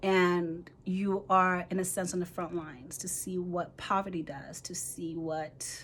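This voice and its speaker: Someone with an American accent speaks at a fairly slow pace in a monotone, flat intonation. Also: woman. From Nigeria (Igbo). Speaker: physician assistant student and mentor. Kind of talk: casual vlog introduction. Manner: rambling, conversational.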